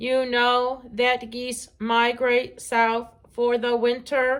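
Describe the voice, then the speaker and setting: Putting on a character voice, a woman speaks at a high pitch. Her intonation is monotone and flat, and her pace very slow. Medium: read story. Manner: precise, no contractions.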